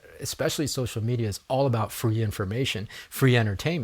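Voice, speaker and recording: Speaking at a very fast pace, a man uses a somewhat breathy, medium-pitched voice. His pitch variation is ordinary. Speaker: podcast host and network marketer. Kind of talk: solo podcast monologue. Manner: halting, many repeated words and fillers.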